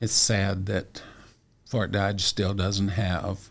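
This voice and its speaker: Very slowly, a man with an American accent speaks in a somewhat breathy, fairly low voice. The recording is very clean with a silent background. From Iowa, US Midwest. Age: 70s. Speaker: retired music teacher and singer. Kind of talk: interview.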